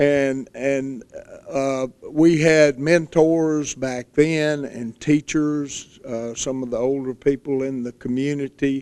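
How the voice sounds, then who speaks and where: A man with an American accent speaks at a fairly high pitch and a very slow pace. His intonation is monotone and flat, while his loudness swings widely. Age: 60s. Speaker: county fair board director. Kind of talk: casual interview chat.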